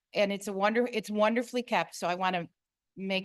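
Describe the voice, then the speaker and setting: Over a quiet background, a woman talks at a moderate pace with a medium pitch and ordinary pitch variation. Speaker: resident making public comment. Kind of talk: public comment at meeting.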